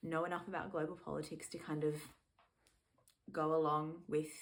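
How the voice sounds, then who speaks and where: In an Australian accent, a woman with a very deep, low pitch speaks at a moderate pace, with audible room echo. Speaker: music fan and video creator. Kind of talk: casual vlog monologue. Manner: casual, many fillers.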